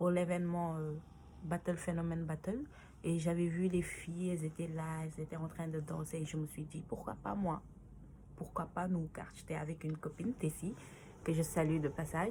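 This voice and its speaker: This woman speaks at a moderate pace with a fairly low pitch. Her voice is somewhat breathy, with fairly even intonation. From Senegal. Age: 20s. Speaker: dancer. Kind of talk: interview answers to read-out questions. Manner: halting, many fillers.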